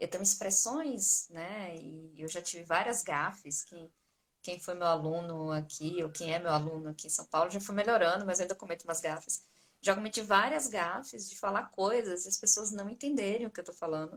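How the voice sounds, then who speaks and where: With a Bahian accent, a woman speaks at a moderate pace and fairly low pitch, her loudness swinging widely. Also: ordinary pitch variation. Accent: Bahian Brazilian Portuguese. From Bahia, northeastern Brazil. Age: 40s. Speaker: psychology lecturer. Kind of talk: online course launch live talk. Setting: live stream.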